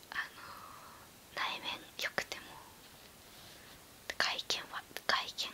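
The clip features a woman whispering. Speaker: beauty and otaku YouTuber. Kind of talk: whispered ASMR chat answering questions. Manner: casual, relaxed.

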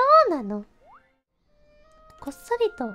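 The voice has a playful tone. Music plays in the background. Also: woman. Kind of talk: video game commentary. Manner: casual, playful.

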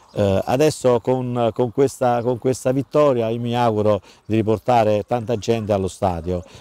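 Dark, mellow in tone and medium in pitch, a man speaks at a moderate pace with ordinary pitch variation. The recording is very clean with a silent background and a dry, close sound with no echo. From Cassino, southern Lazio, Italy. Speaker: football club president. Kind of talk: interview. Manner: halting, many repetitions and fillers.

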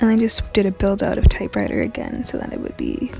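Over clear music in the background, a soft-spoken woman talks at a fairly quick pace in a dry sound with no echo. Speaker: tutorial creator. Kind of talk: tutorial voice-over. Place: home room.

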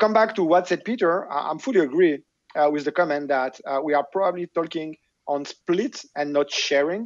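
Speaking at a moderate pace in a French accent, a man uses a fairly high pitch with ordinary pitch variation. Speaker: tech executive; panelist. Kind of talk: panel discussion. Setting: video call. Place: home room. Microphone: video call.

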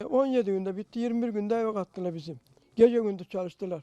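A man's dark, mellow voice, high in pitch with ordinary variation, at a fairly quick pace, in a dry, close sound with no echo. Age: 80s+. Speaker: fire victim. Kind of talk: street interview. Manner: halting.

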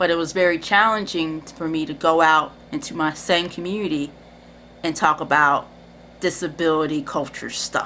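A woman speaks at a moderate pace with fairly low pitch and fairly even intonation. Her tone is bright and sharp, with light background noise. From Cincinnati, Ohio, US Midwest; Ohio. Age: 30s. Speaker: video creator; personal storyteller. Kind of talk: personal testimony. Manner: casual, hesitant with fillers. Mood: reflective, warm. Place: home room. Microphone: webcam.

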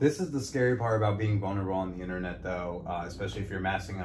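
Noticeable background noise runs beneath a man whose very deep, low voice races along at a very fast pace. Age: 30s. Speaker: podcast host and comedian. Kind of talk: casual interview chat.

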